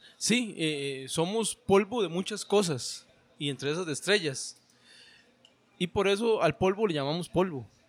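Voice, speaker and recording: Speaking at a fairly slow pace, a man uses a high voice with lively intonation. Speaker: founder of a literary workshop. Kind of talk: casual chat.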